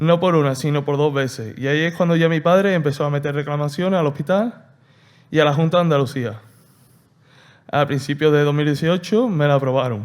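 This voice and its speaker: On a very clean recording with a silent background, a man speaks fairly quickly at a fairly high pitch with ordinary pitch variation. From Andalusia, Seville. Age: 20s. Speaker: patient. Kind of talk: testimony. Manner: halting.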